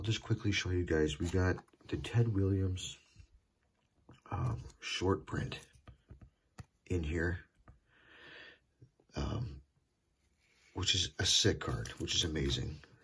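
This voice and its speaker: A quiet man with a very deep, low voice and vocal fry speaks at a very slow pace with long, frequent pauses. His intonation is lively, and there is light background noise. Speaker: trading card collector YouTuber. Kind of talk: casual card-opening video. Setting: at home. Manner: quiet, hushed. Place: home room. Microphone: phone near.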